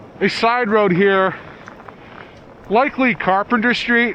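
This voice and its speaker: A high-pitched man talks at a fairly slow pace with ordinary pitch variation, with noticeable background noise behind him. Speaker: video blogger. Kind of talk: vlog narration. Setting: outdoors, riding a bike in a blizzard.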